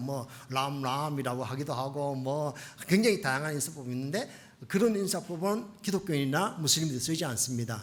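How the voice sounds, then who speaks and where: A man's fairly high, somewhat breathy voice, animated in tone with lively intonation and a fairly quick pace, with audible room echo. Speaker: missionary pastor. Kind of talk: sermon. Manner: fast.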